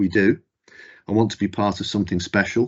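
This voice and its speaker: Fairly low in pitch, a man talks at a fairly quick pace with a Mancunian accent. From northern England, Manchester. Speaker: company chief executive. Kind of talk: corporate presentation.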